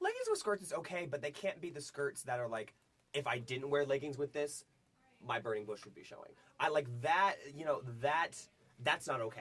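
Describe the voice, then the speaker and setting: A man's fairly high voice, animated in tone, with ordinary pitch variation and a moderate pace. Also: big swings in loudness. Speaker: college radio show co-host. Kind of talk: casual chat.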